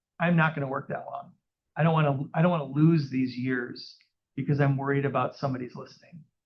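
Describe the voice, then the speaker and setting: With an American accent, a man speaks at a fairly quick pace in a fairly high pitch, somewhat breathy and with fairly even intonation. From US Midwest, Minneapolis area. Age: 60s. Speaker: real estate agent. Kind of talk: interview on stage. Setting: live audience in a room.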